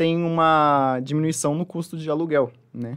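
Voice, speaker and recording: A fairly high-pitched man at a moderate pace, with an unremarkable speaking voice. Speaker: nutritionist. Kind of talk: interview.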